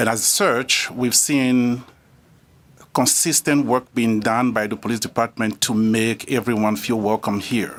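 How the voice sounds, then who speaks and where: A man with a non-native accent speaks fairly slowly at medium pitch, with fairly even intonation and very even loudness. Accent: foreign. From immigrant, abroad. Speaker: public commenter at city council. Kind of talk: public comment. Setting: city council meeting.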